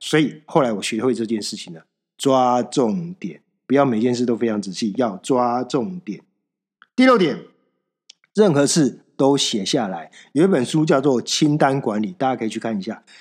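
With an ordinary speaking voice, a man talks at a moderate pace and medium pitch, his intonation lively and the background quiet. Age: 40s. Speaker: podcast host. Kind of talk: solo self-help monologue. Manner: casual, conversational with many fillers.

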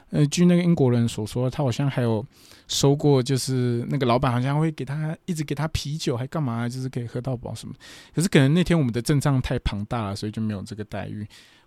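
Over a very clean recording with a silent background, a man speaks very fast in a dark, mellow tone. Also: medium pitch for a man, ordinary pitch variation. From Taiwan. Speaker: podcast host and professional wrestler. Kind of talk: casual monologue, travel diary. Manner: hesitant, many filler sounds.

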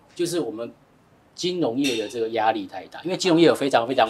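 A man is speaking. His pace is very fast. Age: 40s. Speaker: finance expert. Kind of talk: casual chat.

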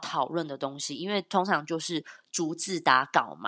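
This woman has an unremarkable speaking voice and lively intonation. She talks at a fairly slow pace. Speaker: YouTuber. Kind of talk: casual chat.

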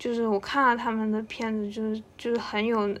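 A woman talks at a fairly slow pace with a fairly high pitch. She has a normal speaking voice. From Hainan, China. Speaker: podcast co-host. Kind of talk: casual chat.

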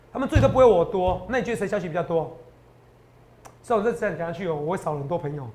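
High-pitched and animated, a man races along at a very fast pace with lively intonation. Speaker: stock market analyst. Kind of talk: market commentary show.

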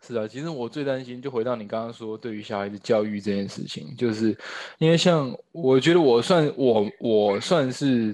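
A man with an ordinary speaking voice talks at a moderate pace and medium pitch, with lively intonation and big swings in loudness, against a quiet background. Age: 30s. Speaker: stage actor and new father. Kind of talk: casual chat. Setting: at home during lockdown.

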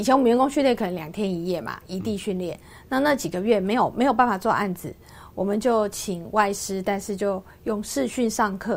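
Someone speaks at a fairly quick pace in a Taiwanese accent. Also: woman, medium pitch for a woman, ordinary pitch variation. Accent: Taiwanese Mandarin. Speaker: businesswoman and author. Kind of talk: interview. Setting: radio studio.

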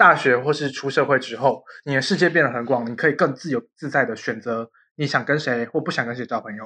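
Against a quiet background, a man with a bright, sharp tone talks with hardly any pauses. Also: medium pitch for a man, ordinary pitch variation, fairly quick pace. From Taiwan, Yunlin. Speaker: podcast host. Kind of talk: casual chat.

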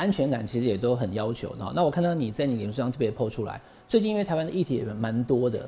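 A man of medium pitch talks at a very fast pace. His tone is dark, mellow and somewhat breathy. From Taiwan. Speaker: talk show host, political commentator. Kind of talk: political interview, casual chat. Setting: studio.

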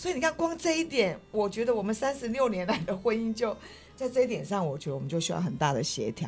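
Over music in the background, a fairly high-pitched woman talks very fast with very wide pitch swings. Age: 60s. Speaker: wife sharing marriage story. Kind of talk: casual interview chat.

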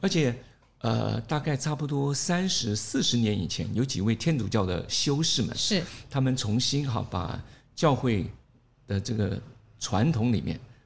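Vocal fry colors speech that moves at a fairly slow pace. The intonation is lively. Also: man, medium pitch for a man. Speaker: pastor. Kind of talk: interview. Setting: studio.

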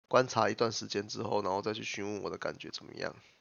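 A man talks at a fairly quick pace. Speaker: podcast host. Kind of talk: casual chat. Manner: halting.

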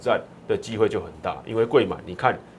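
The man talks at a fairly quick pace. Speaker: stock market analyst. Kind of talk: market analysis in a talk show. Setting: radio studio.

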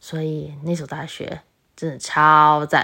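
A woman's voice is heard in a very clean recording with a silent background. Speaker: solo podcast host. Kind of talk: casual monologue. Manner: loud.

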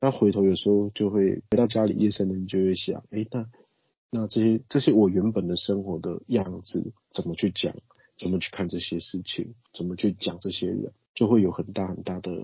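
A man's plain, everyday voice, fairly low in pitch, with fairly even intonation at a moderate pace. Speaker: nonprofit director, community worker. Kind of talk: interview, casual talk.

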